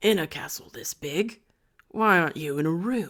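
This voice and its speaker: In a put-on character voice, a woman speaks at a moderate pace with a raspy, fairly low pitch. Her intonation is lively, and her loudness swings widely. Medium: read story. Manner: suspicious.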